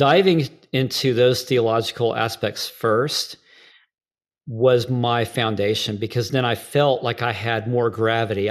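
In a very clean recording with a silent background, a man speaks with fairly even intonation in a plain, everyday voice. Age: 40s. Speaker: worship leader and trainer. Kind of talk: interview conversation.

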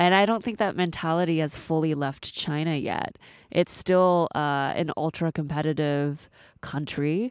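A woman with a very deep, low pitch and an American accent, on a very clean recording with a silent background. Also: ordinary pitch variation, fairly slow pace. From US Pacific Northwest (Seattle). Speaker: coding school co-founder. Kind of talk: casual interview.

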